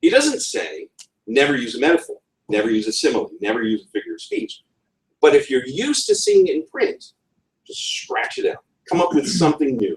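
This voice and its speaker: With a New England accent, a man speaks at a moderate pace. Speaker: conference speaker. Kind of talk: talk. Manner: hesitant, many fillers.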